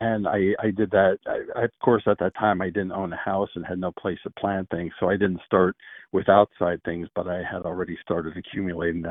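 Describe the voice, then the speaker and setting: A man with an American accent speaks in a very deep, low voice with flat, monotone intonation. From Pennsylvania. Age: 60s. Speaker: caller. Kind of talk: casual phone chat. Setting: phone call.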